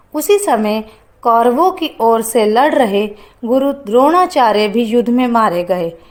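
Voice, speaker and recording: Loudness stays very even throughout. It is a plain, everyday voice with lively intonation. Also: woman, fairly high pitch for a woman. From Haryana, India. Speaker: voice-over artist; anchor. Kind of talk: religious festival explainer narration.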